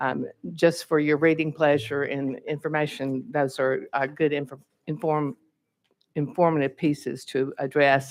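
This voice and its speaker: A woman with an American accent speaks at a fairly slow pace. Her very deep, low pitch carries fairly even intonation. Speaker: state legislator, bill sponsor. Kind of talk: committee hearing testimony. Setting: legislative hearing room at podium.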